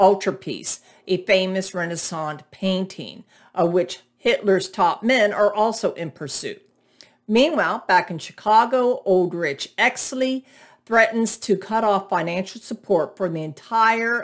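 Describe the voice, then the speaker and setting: Speech from a woman comes at a fairly slow pace, with ordinary pitch variation. Nothing much is heard behind her, as the background is quiet. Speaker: book reviewer. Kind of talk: reading a book synopsis. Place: home room. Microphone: webcam.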